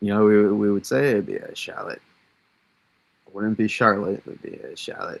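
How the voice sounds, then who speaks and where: At a moderate pace, a man talks with a Massachusetts accent. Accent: Massachusetts accent, drops Rs. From Massachusetts, US. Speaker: weather livestreamer. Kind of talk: live weather analysis. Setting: livestream. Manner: casual, many fillers.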